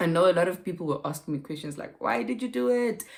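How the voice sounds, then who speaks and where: A woman with an ordinary speaking voice talks at a fairly quick pace and a fairly low pitch. Her intonation is lively. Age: 30s. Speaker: lifestyle vlogger. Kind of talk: casual vlog chat.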